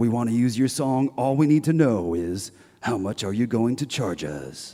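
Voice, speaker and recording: Putting on a character voice, a man with a medium pitch talks at a moderate pace with lively intonation. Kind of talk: Hollywood exec talk. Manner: slick, brisk, businesslike.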